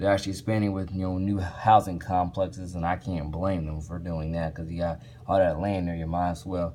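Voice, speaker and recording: Very deep and low in pitch, a man with an American accent talks at a fairly quick pace in a monotone, flat intonation with hardly any pauses. Noticeable background noise runs underneath. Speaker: vlogger. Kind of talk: casual vlog monologue. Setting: hotel room. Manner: halting, repetitive with fillers.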